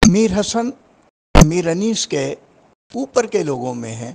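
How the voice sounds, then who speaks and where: A man is speaking. His voice moves through very wide pitch swings. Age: 80s+. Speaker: Urdu literary scholar. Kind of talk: interview commentary.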